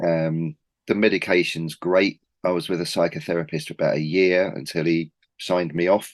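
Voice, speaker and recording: Someone with a Cockney accent talks at a moderate pace with fairly even intonation against a quiet background. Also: man, very deep, low pitch for a man. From East London. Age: 40s. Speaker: record label founder. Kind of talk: casual interview.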